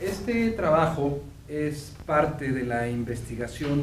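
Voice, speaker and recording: A man talks at a very slow pace with a fairly high pitch. Noticeable background noise and audible room echo are present. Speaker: professor and veterinarian. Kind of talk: lecture. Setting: seminar with audience. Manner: halting, many fillers.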